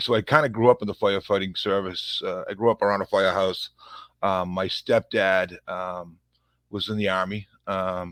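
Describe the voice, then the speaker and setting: The man speaks with a Boston accent and fairly even intonation in a dry, close sound with no echo. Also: moderate pace. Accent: thick Boston. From Massachusetts, Revere near Boston. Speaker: police officer. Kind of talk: interview conversation.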